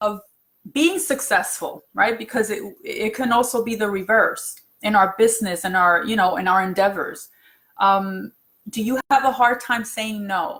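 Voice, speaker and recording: In an ordinary speaking voice, a woman with fairly high pitch talks at a moderate pace with ordinary pitch variation. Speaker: self-help speaker. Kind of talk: livestream talk.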